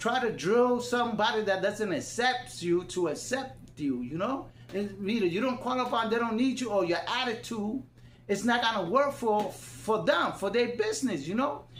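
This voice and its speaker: Someone with a non-native accent speaks at a moderate pace amid noticeable background noise. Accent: non-native, difficulty with words. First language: Spanish (bilingual). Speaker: YouTube commentator. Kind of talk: casual monologue. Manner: loud; halting.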